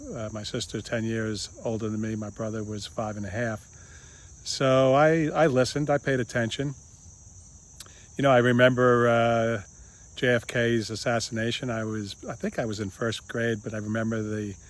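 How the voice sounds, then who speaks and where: Speaking at a moderate pace, a man with a medium pitch keeps his intonation fairly even. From United States. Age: 60s. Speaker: video blogger. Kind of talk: casual monologue. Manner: halting, many fillers.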